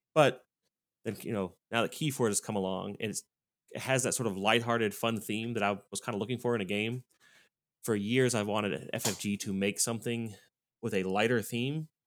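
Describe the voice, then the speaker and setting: An ordinary speaking voice with an American accent and fairly even intonation. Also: man, medium pitch for a man. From Louisville, Kentucky, US. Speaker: card game event organizer. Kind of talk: casual round-table chat.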